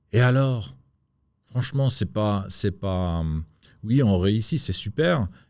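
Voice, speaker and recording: Lively intonation and big swings in loudness mark this very slow delivery. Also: man, fairly low pitch for a man. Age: 60s. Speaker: entrepreneur. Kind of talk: interview. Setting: studio. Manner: halting.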